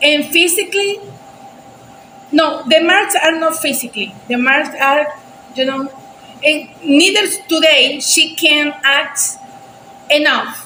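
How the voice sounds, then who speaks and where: A woman's raised, projected voice at a high pitch with a Spanish accent, ordinary pitch variation, a very slow pace, long, frequent pauses and noticeable background noise. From Venezuela. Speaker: reaction video creator. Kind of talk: casual chat. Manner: halting.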